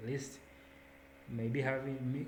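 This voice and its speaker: A man talks at a moderate pace with a medium pitch and fairly even intonation. Audible room echo and noticeable background noise are present. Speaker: student volunteer coordinator. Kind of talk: online onboarding presentation.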